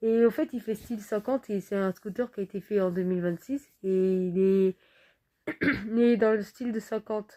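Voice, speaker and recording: The voice has a dark, mellow tone and fairly even intonation, with a dry, close sound and no echo. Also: woman. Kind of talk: casual talk to camera.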